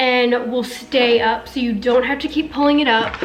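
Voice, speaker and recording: A high-pitched woman with fairly even intonation, amid audible room echo and noticeable background noise. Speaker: beauty and fashion youtuber. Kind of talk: try-on haul review. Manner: casual, filler-heavy.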